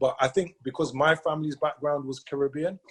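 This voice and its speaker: Very fast speech comes from a man with a fairly high pitch and ordinary pitch variation. The sound is dry and close, with no echo. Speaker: sales team leader. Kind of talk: motivational talk.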